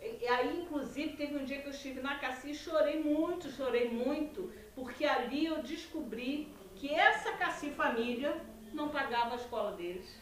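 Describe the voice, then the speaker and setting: High-pitched woman's voice with lively intonation at a moderate pace, with audible room echo. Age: 60s. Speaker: former bank employee. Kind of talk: testimony.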